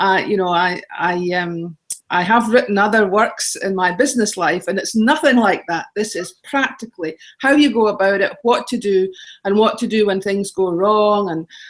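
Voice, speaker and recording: With a Scottish accent, the speaker talks at a moderate pace with ordinary pitch variation. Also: woman, medium pitch for a woman. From Scotland. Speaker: travel blogger and author. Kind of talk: interview.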